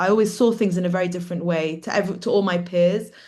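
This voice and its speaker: Medium-pitched woman's voice in a British accent, with audible room echo. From London, England. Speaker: artist. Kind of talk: talk on own work.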